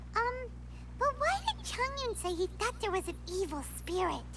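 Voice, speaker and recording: This put-on character voice moves at a moderate pace. Loud background noise sits behind it. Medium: video game.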